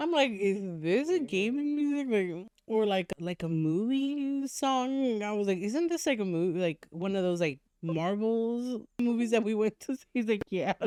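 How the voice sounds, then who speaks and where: A woman with a Californian accent speaks at a moderate pace with hardly any pauses, her fairly high pitch swinging very widely. Her tone is dark and mellow, and the sound is dry and close with no echo. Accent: Californian American English. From Los Angeles, US. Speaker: podcast co-host. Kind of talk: casual chat.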